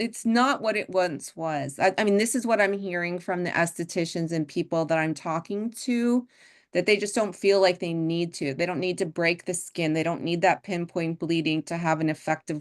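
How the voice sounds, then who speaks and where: A woman has a plain, everyday voice at a fairly low pitch. She keeps a moderate pace with hardly any pauses over a quiet background. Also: ordinary pitch variation. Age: 60s. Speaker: skincare expert. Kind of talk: webinar discussion.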